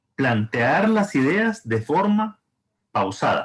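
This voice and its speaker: At a very slow pace, a man with a high pitch makes very wide pitch swings. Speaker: thesis advisor. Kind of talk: advising session. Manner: slow and deliberate.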